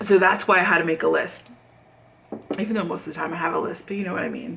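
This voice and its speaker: An animated voice with an American accent rushes along at a very fast pace, with big swings in loudness. Noticeable background noise sits behind it. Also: woman. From Southern California. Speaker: video blogger. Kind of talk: casual chat.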